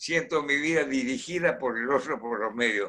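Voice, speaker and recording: At a moderate pace, a man with a fairly high pitch speaks in a bright, sharp tone with ordinary pitch variation. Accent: Argentine. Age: 80s+. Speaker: engineer and industrialist. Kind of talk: radio interview answer.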